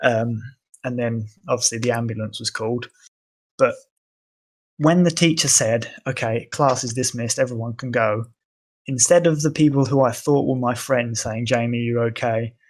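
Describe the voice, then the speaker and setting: In an English accent, a man of medium pitch speaks at a moderate pace with fairly even intonation and long, frequent pauses on a very clean recording with a silent background. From Portugal. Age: 20s. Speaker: podcast guest. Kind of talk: casual chat.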